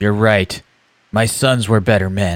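This man uses a put-on character voice pitched fairly low. He delivers it at a fairly slow pace. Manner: grave, emotional, choked up.

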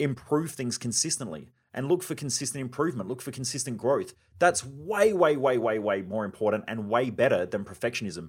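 The speaker has an Australian accent and a fairly quick pace. The intonation is lively. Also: man, medium pitch for a man. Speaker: podcast host and performance coach. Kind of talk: solo podcast monologue. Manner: fast.

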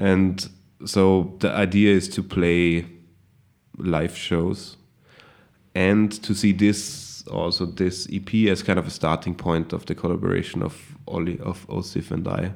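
Very deep and low, a man's voice comes with a German accent. He speaks at a fairly slow pace with monotone, flat intonation. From Austria, Salzburg region. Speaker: hip hop musician. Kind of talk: casual interview.

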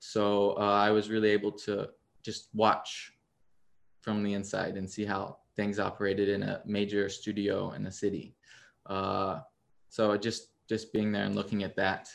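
A man with an American accent, fairly low in pitch and monotone, in a very clean recording with a silent background. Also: fairly slow pace. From US Midwest, Missouri. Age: 20s. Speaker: photographer. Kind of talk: interview.

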